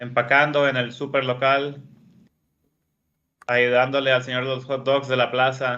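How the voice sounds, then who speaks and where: Bright and sharp in tone, a man's voice moves at a fairly slow pace in a flat monotone, broken by long, frequent pauses. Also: medium pitch for a man. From northern Mexico, Hermosillo, Sonora. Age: 30s. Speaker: professional poker player. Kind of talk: interview.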